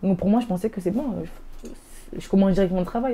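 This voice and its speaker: With a dark, mellow tone, a woman speaks at a medium pitch with ordinary pitch variation. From Nîmes, southern France. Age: 20s. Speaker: apprenticeship graduate sharing her story. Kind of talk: interview testimony. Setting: web TV studio interview. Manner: fast; hesitant, many fillers.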